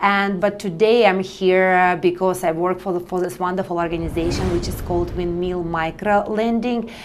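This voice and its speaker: A woman speaks at a moderate pace in a medium pitch, her intonation flat and monotone. There is audible room echo and noticeable background noise. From Russia. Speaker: nonprofit partnership specialist. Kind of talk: interview. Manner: halting.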